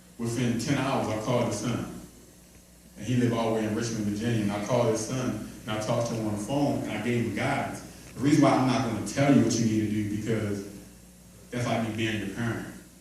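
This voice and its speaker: Talking at a very fast pace in a monotone, flat way, a man is heard with audible room echo and noticeable background noise. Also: medium pitch for a man. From Baltimore, Maryland. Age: 30s. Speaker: motivational speaker, former NFL player. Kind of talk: motivational talk to young men. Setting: live event with audience. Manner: repetitive, conversational.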